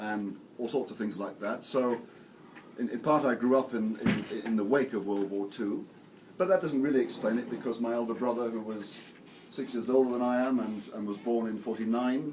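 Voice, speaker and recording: With an English accent, a man speaks at a moderate pace and medium pitch, with ordinary pitch variation and audible room echo. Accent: English (RP). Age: 60s. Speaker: theology professor and priest. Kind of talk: lecture. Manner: halting, with many fillers and repetitions.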